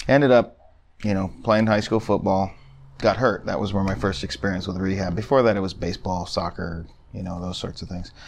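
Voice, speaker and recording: A man talks at a fairly quick pace in a normal speaking voice, with an American accent. His loudness swings widely. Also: fairly low pitch for a man, ordinary pitch variation. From Phoenix, Arizona. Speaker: physical therapist. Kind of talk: casual chat.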